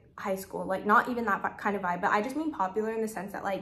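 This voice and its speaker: Fairly high-pitched female speech against noticeable background noise. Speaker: lifestyle vlogger. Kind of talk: casual talk to camera. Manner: fast; chatty, filler-heavy.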